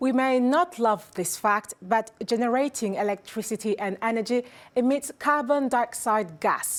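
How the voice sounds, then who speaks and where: An ordinary speaking voice from a woman, with ordinary pitch variation and a fairly slow pace. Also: fairly high pitch for a woman. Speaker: news interviewer. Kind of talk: news interview questions.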